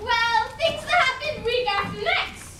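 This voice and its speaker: A female-sounding, put-on character voice is heard over light background noise. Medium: stage play. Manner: whimsical, muddled.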